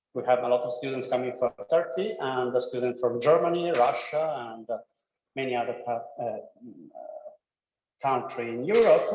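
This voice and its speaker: A man with an Italian accent speaks at a medium pitch and moderate pace, with ordinary pitch variation, long and frequent pauses, and audible room echo. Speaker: professor, degree programme coordinator. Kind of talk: presentation to prospective students. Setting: classroom, streamed online. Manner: halting, non-fluent English.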